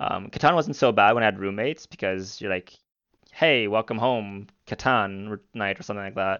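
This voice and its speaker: The speaker has an unremarkable speaking voice and moves at a moderate pace. Pitch variation is ordinary. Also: man, fairly low pitch for a man. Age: 20s. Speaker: gamer and streamer. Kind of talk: casual chat.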